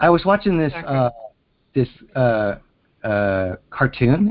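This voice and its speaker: A man speaks with an American accent at a medium pitch. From Pennsylvania. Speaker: caller. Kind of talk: casual chat. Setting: phone call. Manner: halting.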